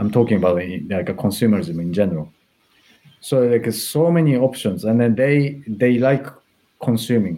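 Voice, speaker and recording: A man with a Japanese accent speaks in a dark, mellow tone at medium pitch, keeping a moderate pace and lively intonation while leaving long, frequent pauses. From Japan, Tokyo. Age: 40s. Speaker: fashion stylist. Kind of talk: interview. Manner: hesitant, many fillers.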